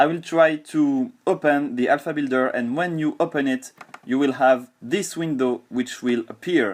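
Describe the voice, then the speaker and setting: Moderate pace and lively intonation from a man at a fairly high pitch, over a quiet background. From France. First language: French. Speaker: software developer and gamer. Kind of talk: software tutorial. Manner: halting with fillers and repeats.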